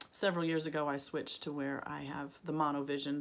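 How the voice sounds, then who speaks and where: A woman talks at a fairly quick pace with ordinary pitch variation. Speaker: longarm quilter and quilting vlogger. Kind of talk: casual vlog monologue. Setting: home sewing studio, video. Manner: filler-heavy, casual, friendly. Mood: relaxed, chatty. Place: home room. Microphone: phone near.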